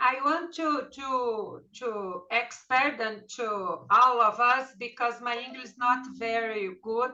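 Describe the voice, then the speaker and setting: Speaking at a very slow pace in a Portuguese accent, a woman has a high pitch and a bright, sharp tone, with ordinary pitch variation and big swings in loudness. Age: 60s. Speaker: study group member. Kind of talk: group discussion. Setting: video call. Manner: halting.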